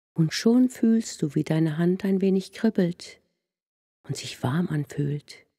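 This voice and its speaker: A woman's very slow, somewhat breathy voice at a fairly low pitch, with lively intonation and a soothing, calm, dark, mellow tone. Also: dry, close sound with no echo. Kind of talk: guided meditation. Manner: soft, slow, soothing, calm and gentle.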